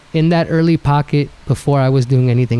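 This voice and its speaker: The speaker talks at a very fast pace with a New York accent. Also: man. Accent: New York hip-hop speech. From New York, Bronx (Mexican-American, Puebla roots). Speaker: DJ. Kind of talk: casual interview chat.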